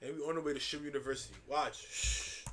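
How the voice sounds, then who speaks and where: Bright and sharp in tone, a man speaks with an American accent at a fairly high pitch. His intonation is monotone and flat. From New York City. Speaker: streamer. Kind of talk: live stream reaction commentary. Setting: live stream.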